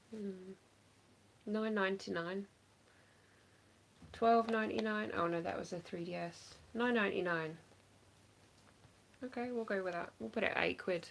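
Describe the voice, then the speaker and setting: In an English accent, the speaker keeps a moderate pace with long, frequent pauses and ordinary pitch variation over light background noise. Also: woman. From England. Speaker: online reseller; live stream reseller. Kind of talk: casual livestream chat. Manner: casual, hesitant with fillers. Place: home room. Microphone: phone near.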